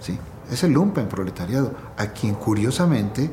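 With lively intonation, a man talks at a moderate pace. Audible room echo and noticeable background noise surround him. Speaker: poet's son. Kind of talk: interview.

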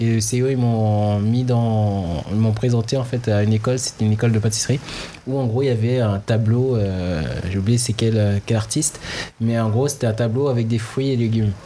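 A man's medium-pitched voice at a moderate pace, fairly even intonation and very even loudness, against noticeable background noise. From French Guiana, Haitian parents, in France since 2000. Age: 20s. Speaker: chef and restaurant owner. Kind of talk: interview. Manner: halting.

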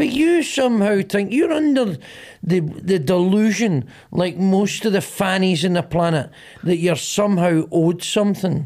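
In a strong Glaswegian accent, a man with a high pitch talks at a moderate pace in an animated tone, his intonation lively and his loudness very even. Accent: Glaswegian, broad. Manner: animated, mocking, repeating himself for emphasis.

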